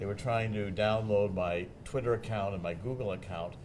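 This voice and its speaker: Fairly low male speech with ordinary pitch variation, a fairly quick pace, and audible room echo. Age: 70s. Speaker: author and investigative journalist. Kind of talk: TV interview.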